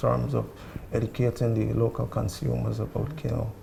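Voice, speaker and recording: Noticeable background noise accompanies a man with a Guyanese accent speaking at a moderate pace. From Guyana. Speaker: marketing coordinator. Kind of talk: TV interview. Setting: TV set in a hotel room.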